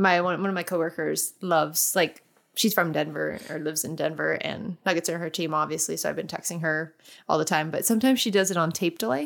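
Delivered very fast, the speech shows ordinary pitch variation. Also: woman, fairly low pitch for a woman. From England. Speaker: podcast co-host. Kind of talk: casual chat.

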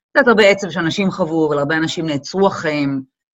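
Here is a woman's voice. Her pitch is very deep and low. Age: 40s. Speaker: model and event producer. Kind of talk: casual chat.

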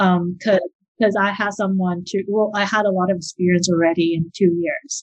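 A woman speaks with a Taiwanese-Canadian accent in a somewhat breathy voice at medium pitch, with ordinary pitch variation. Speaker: wedding planner. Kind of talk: interview.

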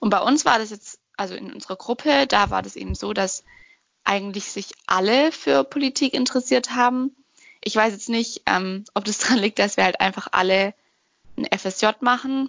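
A woman speaks in a plain, everyday voice at a fairly high pitch and a moderate pace. Her intonation is lively, and her loudness swings a lot. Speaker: podcast co-host. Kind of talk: casual discussion. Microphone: no proper mic, bad connection.

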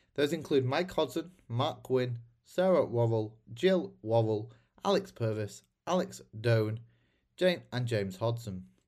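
On a very clean recording with a silent background, a man with a British accent speaks at a medium pitch, somewhat breathy, with lively intonation. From Britain. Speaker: podcast host. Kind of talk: interview; scripted podcast intro and outro.

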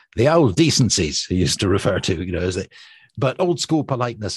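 A man's somewhat breathy voice at a very fast pace, lively intonation over a quiet background. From Scotland. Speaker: radio presenter. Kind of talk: casual chat.

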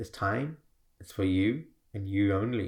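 The voice is somewhat breathy with ordinary pitch variation, captured on a very clean recording with a silent background. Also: man. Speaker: healer and coach podcast host. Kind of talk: guided meditation; motivational solo podcast talk. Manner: animated, upbeat, energetic.

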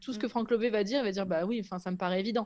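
A woman with a normal speaking voice, fairly high in pitch, with ordinary pitch variation. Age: 30s. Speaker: content creator, former make-up artist. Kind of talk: casual chat.

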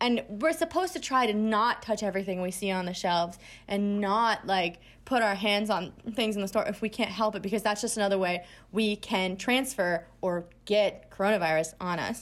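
The recording is very clean, with a silent background. It's a normal speaking voice with ordinary pitch variation. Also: woman, medium pitch for a woman, moderate pace. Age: 20s. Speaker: podcast co-host. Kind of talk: casual chat.

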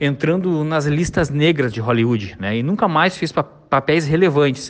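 With lively intonation and a fairly high pitch, a man speaks at a moderate pace in an unremarkable speaking voice. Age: 40s. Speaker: site editor giving a recorded testimonial. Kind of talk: recorded testimonial.

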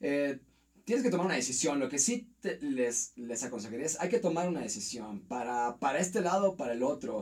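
With very wide pitch swings, a man talks at a fairly quick pace in a fairly high voice. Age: 40s. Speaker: university teacher. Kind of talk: casual interview.

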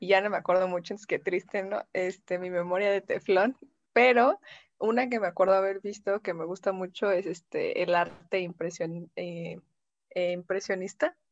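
An ordinary speaking voice moves at a fairly slow pace with fairly even intonation. The sound is dry and close, with no echo. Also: woman. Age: 20s. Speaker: communication student and radio host. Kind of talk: casual chat.

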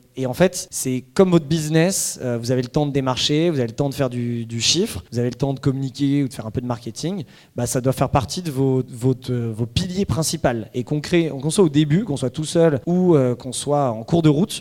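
This man's voice sits fairly high in pitch. His pitch moves up and down in an ordinary way. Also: fairly quick pace. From Paris suburbs, France. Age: 30s. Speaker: startup founder. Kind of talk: talk presentation. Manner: hesitant with fillers.

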